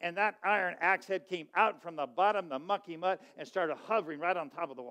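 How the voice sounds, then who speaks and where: A man talks very fast in a high, bright, sharp voice, with hardly any pauses. His pitch varies in an ordinary way, and the background is quiet. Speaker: pastor. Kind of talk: sermon. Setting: church. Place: church. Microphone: headset.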